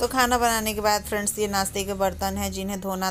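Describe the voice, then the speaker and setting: A woman talks while music plays in the background. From Bihar, India. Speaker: vlogger. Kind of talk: cooking and daily vlog narration. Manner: subdued, soft.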